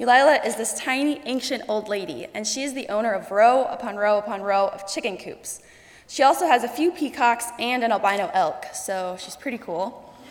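At a moderate pace, a woman speaks with lively intonation and a fairly high pitch. Noticeable background noise can be heard. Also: big swings in loudness. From South Dakota, US. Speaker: college student. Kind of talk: personal story speech. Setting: stage with audience.

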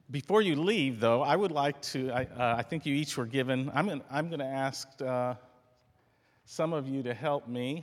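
A man with a plain, everyday voice talks at a moderate pace and medium pitch. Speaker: college president. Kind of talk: closing remarks at convocation. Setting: stage with audience.

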